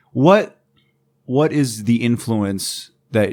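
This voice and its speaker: Here is a man with an ordinary speaking voice. His medium pitch shows ordinary variation. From born in England, raised in Mexico and the US. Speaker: podcast host. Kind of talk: casual chat.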